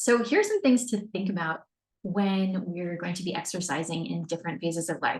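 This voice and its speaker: Somewhat breathy, a woman talks at a fairly quick pace and medium pitch with ordinary pitch variation. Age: 40s. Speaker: fitness coach. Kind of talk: webinar presentation. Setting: screen-share webinar recording.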